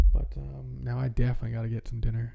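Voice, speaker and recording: This speaker has a Midwestern American accent and a dark, mellow, relaxed tone. The intonation stays monotone and flat. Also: man. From US Midwest. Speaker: streamer. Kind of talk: casual chat. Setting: live stream. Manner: relaxed, halting with fillers.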